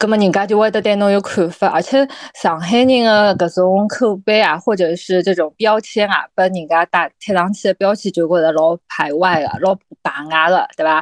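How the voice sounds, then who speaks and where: In a Shanghainese accent, the speaker keeps a moderate pace with ordinary pitch variation and very even loudness. The sound is dry and close with no echo, over a quiet background. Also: woman, medium pitch for a woman. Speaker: podcast co-host. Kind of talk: casual chat.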